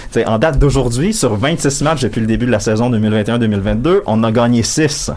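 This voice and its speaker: The man's medium pitch shows ordinary variation as he speaks at a fairly slow pace and very even loudness. Audible room echo and noticeable background noise fill the recording. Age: 20s. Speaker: sports columnist on panel. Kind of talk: casual panel chat.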